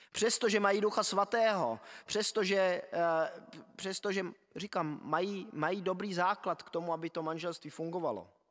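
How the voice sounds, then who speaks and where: Nothing much disturbs the quiet background while a man talks. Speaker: preacher. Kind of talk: sermon. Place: church. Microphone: podium.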